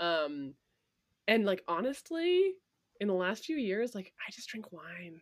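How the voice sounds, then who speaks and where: On a very clean recording with a silent background, a woman of medium pitch speaks at a fairly slow pace with very wide pitch swings, big swings in loudness and long, frequent pauses. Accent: American. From Vermont, US. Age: 30s. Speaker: bartender and bar owner. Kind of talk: casual chat.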